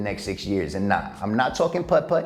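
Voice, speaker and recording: A man talks at a fairly quick pace with vocal fry. His pitch swings very widely. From United States (Cleveland, Ohio). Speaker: sports and entertainment reporter.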